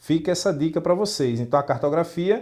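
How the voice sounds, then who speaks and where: Against a quiet background, a man speaks at a fairly high pitch with ordinary pitch variation and a slight northeastern Brazilian accent. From Brazil, Northeast (João Pessoa, Paraíba). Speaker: geography teacher. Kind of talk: lecture.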